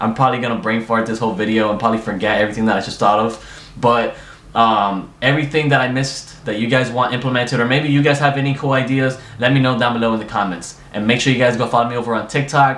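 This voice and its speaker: A man's medium-pitched voice at a very fast pace, fairly even in intonation, with audible room echo and noticeable background noise. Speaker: gaming YouTuber. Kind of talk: casual gaming commentary. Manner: unscripted, loose and rambling delivery; stuttering, halting.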